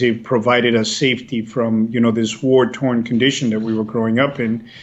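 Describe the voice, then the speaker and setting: A man at a medium pitch, talking at a moderate pace. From US, raised partly in El Salvador then US. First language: Spanish. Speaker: policy executive, former government official. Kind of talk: interview.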